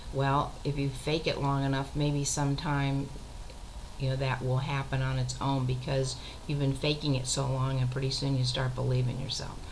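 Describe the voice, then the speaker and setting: At a moderate pace, a woman speaks at a very deep, low pitch in a monotone, flat intonation, with very even loudness and audible room echo. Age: 60s. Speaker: retired teacher and author keeping a web journal. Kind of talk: casual monologue video journal.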